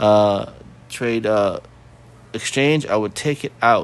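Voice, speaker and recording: Using an unremarkable speaking voice, a man talks fairly slowly at a medium pitch. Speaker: crypto tutorial youtuber. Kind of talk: tutorial. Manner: casual, filler-heavy.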